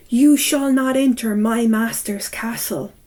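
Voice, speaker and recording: A woman puts on a character voice. It is fairly high and fairly slow. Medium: read story.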